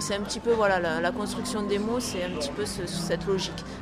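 With crowd noise in the background and audible room echo, a woman talks at a medium pitch with ordinary pitch variation. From Toulouse, southern France. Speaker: Esperanto association volunteer. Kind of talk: interview. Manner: hesitant, with fillers.

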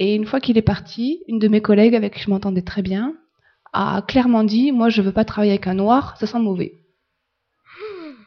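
A woman speaks at a moderate pace in a fairly high, somewhat breathy voice. She pauses long and often. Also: ordinary pitch variation. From France. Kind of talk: interview.

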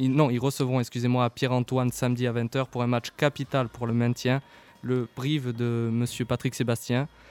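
Recorded with a dry, close sound and no echo, a man speaks at a moderate pace. His medium-pitched voice is monotone and flat. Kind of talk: radio sports show co-host patter, live studio banter and rundown of results. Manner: brisk, informal, stumbling and self-correcting with fillers like 'euh'.

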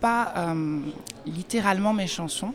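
Her pitch medium and varied in an ordinary way, a woman talks at a very slow pace. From France. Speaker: singer-songwriter. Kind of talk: radio interview. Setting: festival forum radio stand.

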